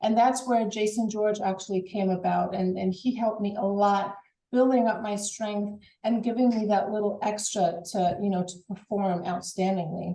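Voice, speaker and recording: Speaking at a moderate pace with hardly any pauses, a woman with a slight German accent has a somewhat breathy, dark and mellow tone, a medium pitch and fairly even intonation. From Germany. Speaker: former college track and field athlete. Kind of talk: interview. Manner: halting, repeats words.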